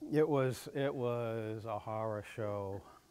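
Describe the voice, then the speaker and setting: A man speaks with ordinary pitch variation. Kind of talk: informal lecture. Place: hall.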